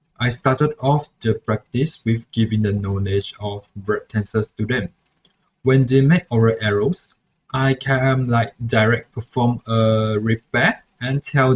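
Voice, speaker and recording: A man speaks at a fairly slow pace with a Mandarin accent and fairly even intonation. His voice is somewhat breathy. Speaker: student teacher. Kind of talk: reflection vlog. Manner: halting.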